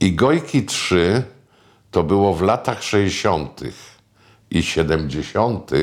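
A man speaks at a very slow pace, with vocal fry. The recording is very clean, the background silent. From Pomerania, northern Poland (near Puck, Sopot). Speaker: screenwriter and film producer. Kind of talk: oral history reminiscence interview. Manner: conversational, with frequent fillers.

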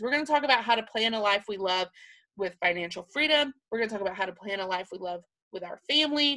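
A woman with a Southern US accent speaks at a fairly quick pace in a bright, sharp, animated tone. Her pitch is fairly high and swings very widely. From Alabama, US South. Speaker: podcaster, planner content creator, former teacher. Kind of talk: casual solo podcast monologue. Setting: home office.

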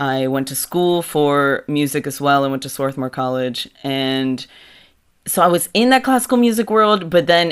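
The recording is very clean and the background silent. The speaker keeps a fairly slow pace. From Mexico City, raised in suburban Philadelphia from age 7. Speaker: musician and bandleader. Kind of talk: interview.

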